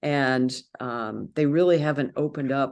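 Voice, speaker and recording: A woman with an American accent and a very deep, low pitch speaks over a quiet background. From United States. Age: 70s. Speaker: author and sprint runner. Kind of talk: interview answer.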